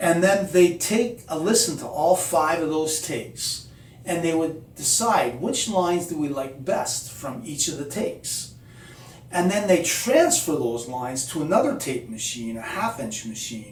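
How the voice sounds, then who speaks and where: Amid noticeable background noise and audible room echo, a man speaks at a fairly slow pace in a fairly high pitch with very wide pitch swings. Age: 60s. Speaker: musician. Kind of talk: casual tutorial. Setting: home studio. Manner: conversational, many fillers.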